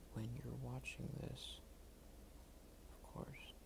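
The speech moves at a very slow pace. Background noise is noticeable throughout. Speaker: ASMR creator. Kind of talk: ASMR soft-spoken talk while drawing. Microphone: phone near.

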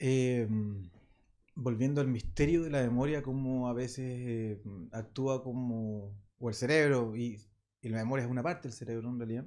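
A man in a Chilean accent at a moderate pace, with fairly even intonation, against a quiet background. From Chile, Santiago (Maipú). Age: 50s. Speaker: rock drummer; guest. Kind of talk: casual interview. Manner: halting. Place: studio. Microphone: studio mic.

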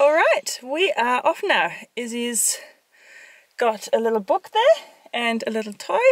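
No echo colors this dry sound. Behind it, the background stays quiet. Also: woman. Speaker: parent vlogger. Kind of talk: casual vlog chat. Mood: cheerful, upbeat. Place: car. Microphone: phone near.

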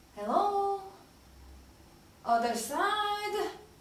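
Amid strong room echo, a woman puts on a character voice at an extremely high pitch. She speaks at a very slow pace with lively intonation.

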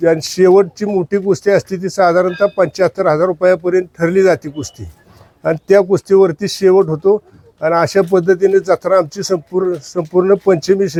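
A dry, close sound with no echo carries speech whose intonation stays fairly even. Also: man, high pitch for a man. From Satara district, Maharashtra. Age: 70s. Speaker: village elder and festival organiser. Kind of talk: informal spoken explanation.

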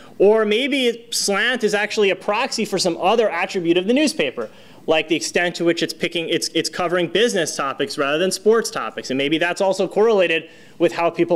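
This man talks very fast with lively intonation. His pitch sits high for a man. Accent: American. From US, a soda-saying region. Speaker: economics professor. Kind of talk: lecture. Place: hall. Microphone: podium.

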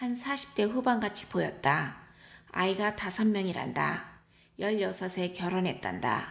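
Audible room echo surrounds a calm voice speaking very slowly with lively intonation and vocal fry. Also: woman, medium pitch for a woman. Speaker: travel vlogger. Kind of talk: travel diary narration. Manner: calm, reflective.

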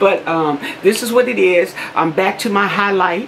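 There is light background noise behind a woman as she talks. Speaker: beauty vlogger. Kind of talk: casual vlog chat. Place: home room. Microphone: phone near.

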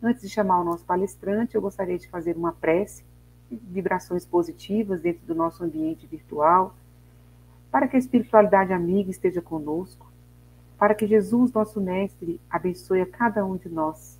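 A woman at a moderate pace, with ordinary pitch variation and big swings in loudness. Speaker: host of a spiritist online talk. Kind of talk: reading a text, then host announcements and prayer. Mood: calm, devotional. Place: home room. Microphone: earbuds.

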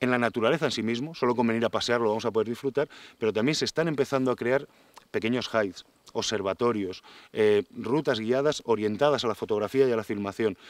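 Dry sound with no echo carries a man talking at a very fast pace with ordinary pitch variation. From Spain. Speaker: forest engineer and nature promoter; interviewee. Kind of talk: interview. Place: forest. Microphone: lapel.

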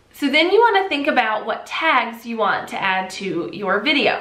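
A woman talks at a moderate pace with audible room echo around her voice. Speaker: online video creator. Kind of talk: tutorial. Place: home room.

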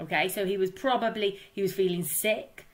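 Fairly even intonation while reading aloud in a natural voice

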